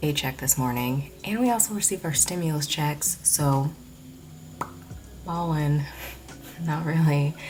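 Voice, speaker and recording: With music in the background, a soft-spoken woman with a very deep, low pitch talks at a fairly slow pace, using lively intonation and long, frequent pauses. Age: 20s. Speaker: vlogger. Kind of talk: casual vlog chat. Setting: at home at night. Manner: soft-spoken, speaking quietly.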